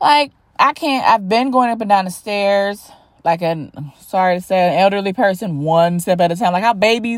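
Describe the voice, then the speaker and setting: A woman speaks at a medium pitch and moderate pace, in an animated tone with ordinary pitch variation. The recording is very clean, with a silent background. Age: 40s. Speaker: podcast host. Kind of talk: casual monologue.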